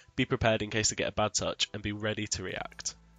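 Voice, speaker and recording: A man with a fairly low pitch speaks with music in the background. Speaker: gaming content creator. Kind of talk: gaming tutorial voice-over.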